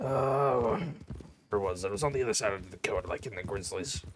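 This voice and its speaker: A raspy, put-on character voice from a man, medium in pitch, with lively intonation at a very fast pace. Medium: game stream. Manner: casual, rambling.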